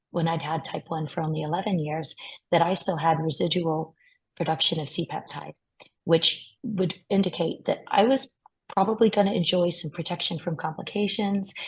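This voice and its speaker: A woman speaks at a moderate pace in a fairly low, somewhat breathy voice with ordinary pitch variation. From US. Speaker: patient advocate. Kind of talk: webinar testimony.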